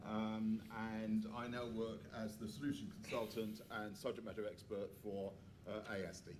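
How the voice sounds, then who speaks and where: Audible room echo surrounds a man's fairly low voice. He keeps a moderate pace with monotone, flat intonation. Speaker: financial crime compliance consultant. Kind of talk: panel discussion. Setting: conference stage with audience. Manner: loud.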